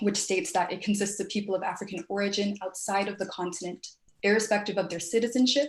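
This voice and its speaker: Somewhat breathy, a woman speaks very fast at a medium pitch with ordinary pitch variation. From Netherlands. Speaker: student debater. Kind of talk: formal debate speech.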